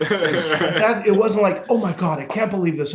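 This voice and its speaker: Against noticeable background noise, a man talks at a fairly quick pace in a high-pitched voice. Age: 60s. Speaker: author and recovery speaker. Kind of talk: podcast interview. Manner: animated.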